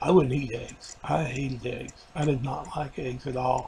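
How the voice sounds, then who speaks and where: Over noticeable background noise, a man speaks in a flat monotone at a medium pitch and a moderate pace. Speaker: video diarist after weight loss surgery. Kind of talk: personal video diary. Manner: halting, many fillers.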